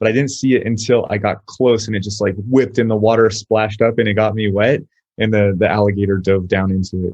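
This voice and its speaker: A man with an American accent talks at a very fast pace, his fairly low voice carrying fairly even intonation. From Southern California. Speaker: army veteran and paramotor instructor. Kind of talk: podcast interview. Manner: halting, many repeated words.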